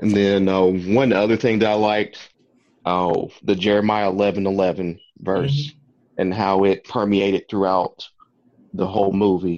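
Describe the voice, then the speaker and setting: At a moderate pace, a man speaks at fairly low pitch in a plain, everyday voice, keeping his loudness very even. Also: fairly even intonation. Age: 30s. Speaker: podcast guest, movie commentator. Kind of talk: casual chat.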